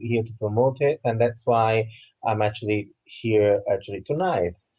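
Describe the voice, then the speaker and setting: A man speaks at a moderate pace with an Italian accent, his voice somewhat breathy and his pitch varying in an ordinary way. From southern Italy. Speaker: author and Reiki teacher. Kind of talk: interview.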